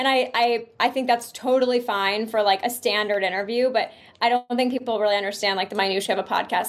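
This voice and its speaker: Speaking at a fairly quick pace, a woman keeps her loudness very even and hardly pauses at all. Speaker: journalist and podcast host. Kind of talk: casual interview chat. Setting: remote call. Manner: fast; animated.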